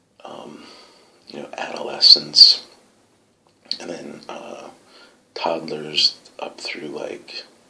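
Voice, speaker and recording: Whispering very slowly, a man leaves long, frequent pauses as his loudness swings widely over noticeable background noise. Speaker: adoptive parent video diarist. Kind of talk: video diary. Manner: soft-spoken; hesitant, many fillers.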